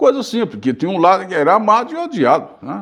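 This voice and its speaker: A man talks at a fairly quick pace with vocal fry. The background is quiet. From Bahia, Brazil. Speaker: journalist and radio broadcaster. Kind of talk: interview answer. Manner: casual storytelling.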